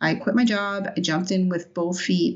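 A somewhat breathy woman's voice at medium pitch, with an American accent. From New York City, Brooklyn. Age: 50s. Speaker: event organizer. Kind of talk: interview.

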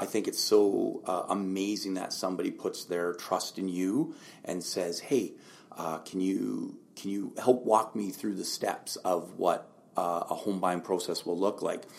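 Speaking at a fairly slow pace, a man talks in a western Canadian accent. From Lower Mainland, British Columbia, Canada. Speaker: realtor. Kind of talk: interview.

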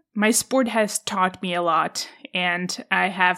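A Czech accent, bright and sharp in tone, at a very slow pace with fairly even intonation, on a very clean recording with a silent background. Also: woman. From Czech Republic, countryside. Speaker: podcast host, former tennis player. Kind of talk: solo podcast monologue.

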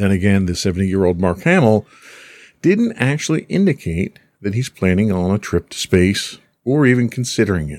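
On a very clean recording with a silent background and a dry, close sound with no echo, a man in a normal speaking voice talks at a moderate pace with fairly low pitch and lively intonation. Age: middle-aged. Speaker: podcast host. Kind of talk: casual chat.

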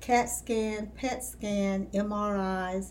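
A woman's somewhat breathy voice at medium pitch. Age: 70s. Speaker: retired dietitian, lupus patient. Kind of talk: interview, personal story.

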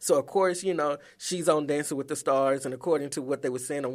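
In an ordinary speaking voice, a man talks at a fairly high pitch with ordinary pitch variation, recorded very cleanly against a silent background. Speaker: radio co-host.

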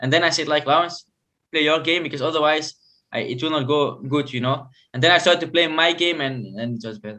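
A man's voice, fairly high in pitch, races along at a very fast pace. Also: ordinary pitch variation. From Belgium. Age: 20s. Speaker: Paralympic table tennis player. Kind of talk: interview. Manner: halting.

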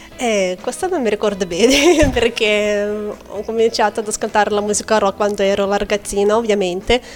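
Woman's fairly high voice at a moderate pace, ordinary pitch variation, hardly any pauses, over noticeable background noise. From Lithuania. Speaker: English teacher and pianist. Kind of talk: interview chat.

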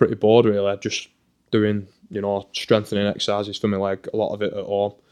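Someone with a Lancashire accent speaks very fast in a monotone, flat way against a quiet background. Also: man. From northern England, Burnley. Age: 20s. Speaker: professional footballer. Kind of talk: casual chat. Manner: halting.

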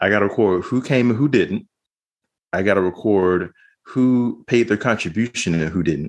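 A man speaks in an ordinary speaking voice at a moderate pace, his fairly low pitch carrying ordinary pitch variation and very even loudness. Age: 40s. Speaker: former church member. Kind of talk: interview.

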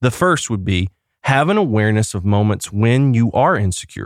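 A man with a plain, everyday voice speaks at medium pitch and a moderate pace, with lively intonation. The recording is very clean, with a silent background. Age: 30s. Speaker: pastor and podcast host. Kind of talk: solo podcast monologue with personal story.

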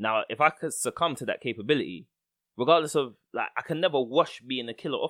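A man's fairly high voice in a London accent, with ordinary pitch variation. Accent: London multicultural English. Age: 30s. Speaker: podcast host. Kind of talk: casual chat.

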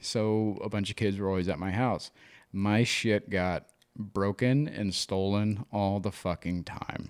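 In a very clean recording with a silent background, a man with an ordinary speaking voice and a fairly low pitch talks at a fairly slow pace with fairly even intonation. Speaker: podcast co-host. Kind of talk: casual banter and candid conversation.

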